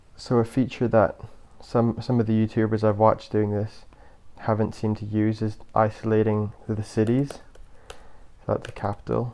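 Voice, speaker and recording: A man speaks at a moderate pace in a fairly low, dark, mellow tone. His intonation is monotone and flat, with long, frequent pauses. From Britain. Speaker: YouTuber. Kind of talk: casual vlog monologue. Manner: hesitant, many fillers.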